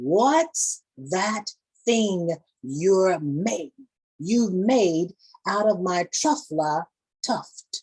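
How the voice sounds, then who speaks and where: Using a put-on character voice, a woman speaks at a medium pitch and a very slow pace. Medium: read story. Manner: bossy.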